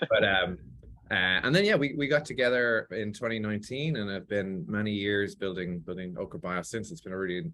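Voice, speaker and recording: A man with an Irish accent, fairly low in pitch, talking very fast with lively intonation. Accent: Irish, still clear. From Ireland (Athlone, Midlands). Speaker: biotech CEO. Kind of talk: interview. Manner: hesitant, many fillers and repeats.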